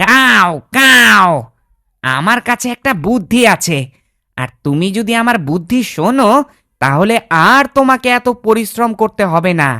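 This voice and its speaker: In a cartoonish character voice, a female-sounding speaker talks at a fairly high pitch and a fairly slow pace. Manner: boastful, self-important.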